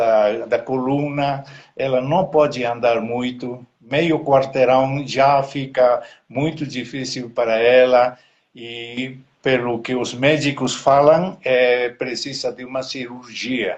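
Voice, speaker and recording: A man talks very slowly, his medium-pitched voice holding fairly even intonation. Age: 70s. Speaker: missionary pastor. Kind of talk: live online interview, prayer requests. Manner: halting, many hesitations.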